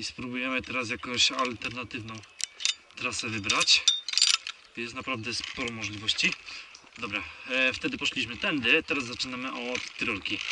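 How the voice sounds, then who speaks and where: Against loud background noise, a man talks at a moderate pace with long, frequent pauses, the sound dry with no echo. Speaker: rope course vlogger. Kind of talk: casual vlog commentary. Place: forest. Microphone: phone near.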